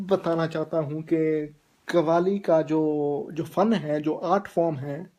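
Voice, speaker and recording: Speaking with a Punjabi accent, a man uses a high pitch, a dark, mellow tone and fairly even intonation. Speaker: vlogger. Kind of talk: video blog talk. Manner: halting. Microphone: poor internet connection.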